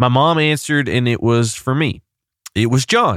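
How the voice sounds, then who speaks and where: A man with an ordinary speaking voice talks at a moderate pace, his pitch varying in an ordinary way, on a very clean recording with a silent background. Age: 30s. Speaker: pastor and podcast host. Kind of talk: solo podcast monologue with personal story.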